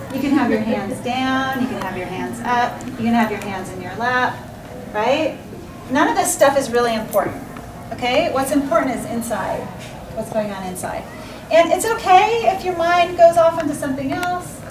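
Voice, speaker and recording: A woman speaks at a high pitch and a moderate pace, with very wide pitch swings and big swings in loudness. Audible room echo and noticeable background noise surround her voice. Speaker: therapist leading meditation. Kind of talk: guided meditation.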